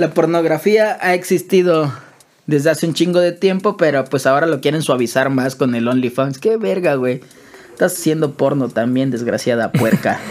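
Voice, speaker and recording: Amid noticeable background noise, a man's speech moves at a moderate pace. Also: fairly high pitch for a man, ordinary pitch variation. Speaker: podcast co-host. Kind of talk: casual chat.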